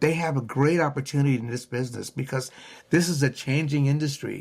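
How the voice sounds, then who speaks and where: Somewhat breathy, a man speaks at a fairly high pitch with ordinary pitch variation. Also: very clean recording, silent background. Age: 70s. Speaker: auto recycling business owner. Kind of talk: podcast interview.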